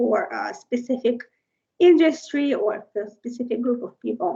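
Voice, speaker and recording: In a non-native accent, a woman talks with a high pitch. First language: Russian. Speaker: tech conference speaker. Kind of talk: technical presentation. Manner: hesitant, many fillers.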